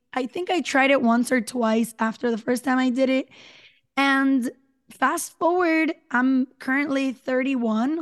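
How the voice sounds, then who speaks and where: A woman speaks with a Spanish accent. Her pitch varies in an ordinary way. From Puerto Rico. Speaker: podcaster. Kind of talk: interview.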